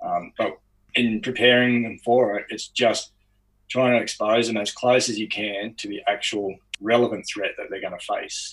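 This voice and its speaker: A man speaks with an Australian accent in a medium-pitched voice. His intonation is fairly even and his pace moderate. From Australia, outside Sydney (Lower Blue Mountains). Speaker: ex-special forces soldier and strength coach. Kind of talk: interview.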